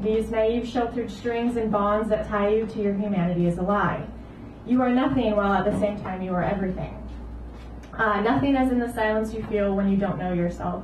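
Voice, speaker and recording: A woman talks at a fairly high pitch, and clear background noise can be heard around her. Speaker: poet. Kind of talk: spoken-word poetry reading; poetry reading. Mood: intense, reflective. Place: cafe.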